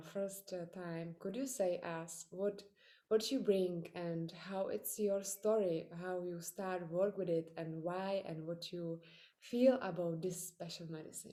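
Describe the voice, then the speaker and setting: A woman with a Czech accent speaks at a very slow pace, her medium-pitched voice dark and mellow in tone with ordinary pitch variation. The recording is very clean, with a silent background. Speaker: podcaster. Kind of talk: interview. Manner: halting.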